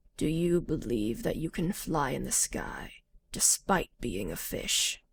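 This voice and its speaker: A woman growls in a put-on character voice with a very deep, low pitch at a fairly slow pace, on a very clean recording with a silent background. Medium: read story. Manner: grave, pained.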